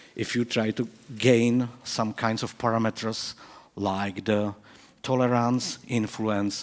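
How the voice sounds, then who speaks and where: Very slow speech from a man at medium pitch, the intonation fairly even. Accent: Czech. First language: Czech. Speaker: professor. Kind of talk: conference talk. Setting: stage with audience. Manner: halting.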